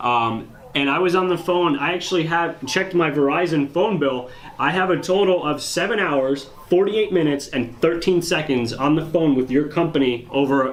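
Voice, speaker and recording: Fairly high male voice at a moderate pace with very even loudness, audible room echo and noticeable background noise. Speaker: auto repair shop owner. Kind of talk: heated phone argument.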